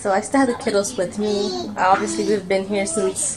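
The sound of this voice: A woman at medium pitch over faint background noise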